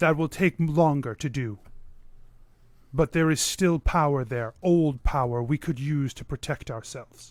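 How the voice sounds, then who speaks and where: A man's put-on character voice, fairly high in pitch, at a moderate pace in a very clean recording with a silent background. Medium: actual play. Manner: formal, measured, archaic.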